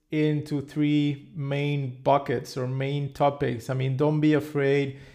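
A man with a Spanish accent and a fairly high pitch. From Mexico, Cancun. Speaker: podcast host. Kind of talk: interview.

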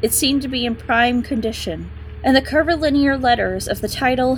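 Noticeable background noise behind a female voice. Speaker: audiobook narrator. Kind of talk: dramatic narration. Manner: tense, hushed, suspenseful, building dread.

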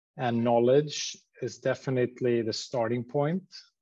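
Speaking with a Swedish accent, a man talks at a medium pitch. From Sweden, Stockholm. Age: 40s. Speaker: company CEO. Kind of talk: interview.

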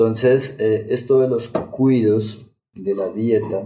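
In a room with audible echo, a man speaks in a fairly low, somewhat breathy voice with a dark, mellow tone. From Colombia, Bogotá. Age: 40s. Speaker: shamanic medicine healer. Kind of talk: podcast interview.

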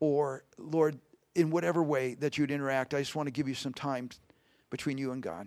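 A man with an American accent talks at a fairly quick pace in a normal speaking voice with ordinary pitch variation, on a very clean recording with a silent background. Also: fairly high pitch for a man. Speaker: pastor. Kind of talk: sermon. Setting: church.

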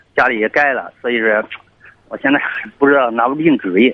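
A man talks at medium pitch. His pitch varies in an ordinary way. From southern China. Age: 30s. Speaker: caller. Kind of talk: phone-in advice call. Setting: phone call.

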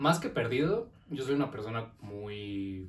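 In a Mexico City accent, a man speaks with ordinary pitch variation amid audible room echo. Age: 20s. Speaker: business administration graduate. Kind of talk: casual chat.

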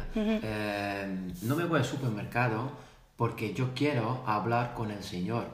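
A man with a medium-pitched, somewhat breathy voice speaks at a fairly slow pace. His pitch varies in an ordinary way, and audible room echo surrounds him. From Netherlands. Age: 30s. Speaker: salesperson. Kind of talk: casual chat. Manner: halting, many fillers.

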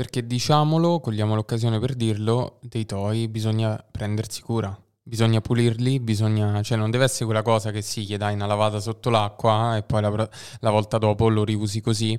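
A man speaks in a flat monotone at a fairly quick pace. His pitch is fairly low, and the recording is very clean with a silent background. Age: 20s. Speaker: podcast host. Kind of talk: casual interview chat.

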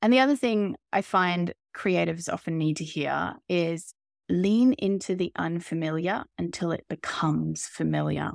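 A woman with an Australian accent at a moderate pace, dry and close with no echo, on a very clean recording with a silent background. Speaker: artist and creative coach. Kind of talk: interview conversation.

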